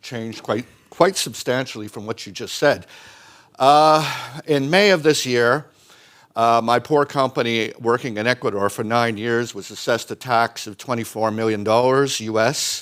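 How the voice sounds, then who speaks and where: A man's ordinary speaking voice at a fairly slow pace, with ordinary pitch variation and big swings in loudness. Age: 60s. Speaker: mining company executive. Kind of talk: conference presentation.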